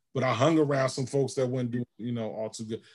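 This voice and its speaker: A man's plain, everyday voice at medium pitch, with an American accent and ordinary pitch variation. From Georgia and Albany, New York. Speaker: pastor / seminary graduate. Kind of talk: interview.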